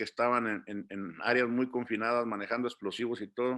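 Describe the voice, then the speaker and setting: A man speaks at medium pitch with flat, monotone intonation. His pace is fairly quick. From Mexico, Durango. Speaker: migrant community leader. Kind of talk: interview. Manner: hesitant, many fillers.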